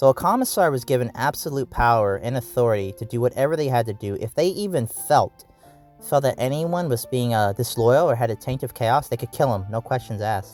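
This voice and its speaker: Over music in the background, a man talks at a fairly quick pace with a medium pitch and ordinary pitch variation. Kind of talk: casual lore talk to camera. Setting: in a car. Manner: casual, unscripted, rambling.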